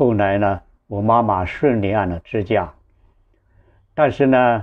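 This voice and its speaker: Against a quiet background, a man speaks very slowly at a fairly low pitch with ordinary pitch variation. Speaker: online storyteller. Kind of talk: personal storytelling. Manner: halting, with repetitions and fillers. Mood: earnest, moved. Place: home room. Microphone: lapel.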